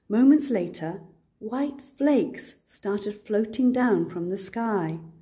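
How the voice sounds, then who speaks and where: A woman at a very slow pace, fairly high-pitched and somewhat breathy, with a dark, mellow tone and lively intonation. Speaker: grandmother. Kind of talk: children's picture book read-aloud.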